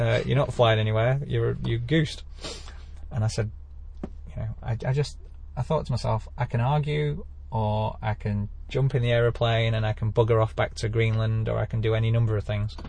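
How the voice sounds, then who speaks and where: Somewhat breathy, a man with an English accent talks at a moderate pace and medium pitch, with ordinary pitch variation. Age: 40s. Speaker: amateur pilot. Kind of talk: interview.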